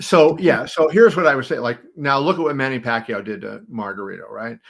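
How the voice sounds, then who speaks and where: Very wide pitch swings and big swings in loudness at a fairly quick pace. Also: man, fairly high pitch for a man. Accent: American. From Pittsburgh, Pennsylvania. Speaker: sportswriter. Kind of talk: interview.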